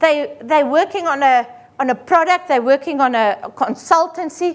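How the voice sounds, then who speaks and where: With an Afrikaans accent, a woman talks at a moderate pace in a high pitch with ordinary pitch variation. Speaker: accountant. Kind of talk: seminar presentation. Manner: animated.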